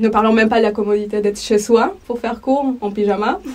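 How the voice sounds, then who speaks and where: With a Spanish accent, the speaker goes at a fairly quick pace amid noticeable background noise. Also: woman. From El Salvador. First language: Spanish (speaking French). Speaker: language teacher. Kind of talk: interview testimony.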